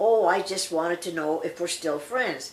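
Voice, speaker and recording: Moderate tempo in a put-on character voice. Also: woman. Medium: read story.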